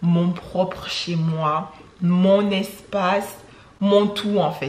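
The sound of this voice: A woman speaks with fairly even intonation. Room echo is audible.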